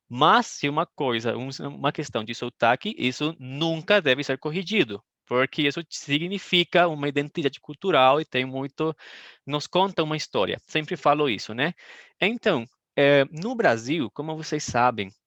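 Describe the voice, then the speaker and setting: Fairly high-pitched and bright, sharp in tone, a man speaks at a fairly slow pace with lively intonation in a dry, close sound without echo. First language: Spanish (speaking Portuguese). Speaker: Portuguese teacher. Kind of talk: online language class. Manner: halting, many fillers.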